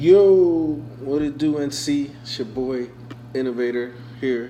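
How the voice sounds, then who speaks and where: The speech comes at a very slow pace, with audible room echo and noticeable background noise. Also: man. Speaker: online rap battle league host reviewing entries. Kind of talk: casual commentary review.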